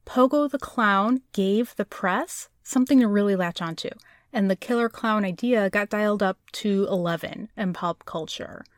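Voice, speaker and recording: In a normal speaking voice, a woman with an American accent talks at a moderate pace and a fairly high pitch, with ordinary pitch variation, on a very clean recording with a silent background and a dry, close sound with no echo. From Chicago. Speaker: podcast co-host. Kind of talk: casual chat.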